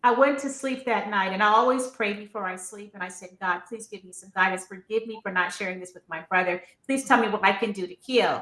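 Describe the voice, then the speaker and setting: A woman with an American accent talks at a fairly quick pace with hardly any pauses, her loudness swinging widely. She has an unremarkable speaking voice, medium pitch, and ordinary pitch variation. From North Carolina. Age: 60s. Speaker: author. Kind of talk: interview.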